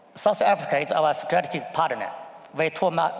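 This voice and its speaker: Noticeable background noise sits behind a man with a Chinese accent who talks at a fairly quick pace in a fairly high pitch. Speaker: investment fund executive. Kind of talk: panel discussion. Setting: conference stage with audience.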